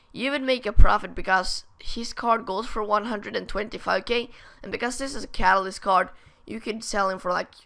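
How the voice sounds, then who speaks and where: A woman's bright, sharp voice with vocal fry comes through in a very clean recording with a silent background. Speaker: gaming youtuber. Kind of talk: gameplay tutorial. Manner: casual, hesitant.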